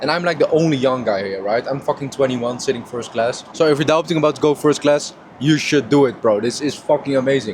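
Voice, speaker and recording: A man talks at a very fast pace with hardly any pauses and ordinary pitch variation, over noticeable background noise. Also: medium pitch for a man. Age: 20s. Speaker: online entrepreneur vlogger. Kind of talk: casual vlog talk to camera. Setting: first class airplane cabin. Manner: loud.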